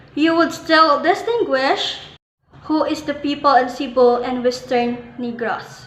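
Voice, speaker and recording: A woman with a high pitch speaks at a very slow pace, with audible room echo. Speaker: student presenter. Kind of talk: educational presentation.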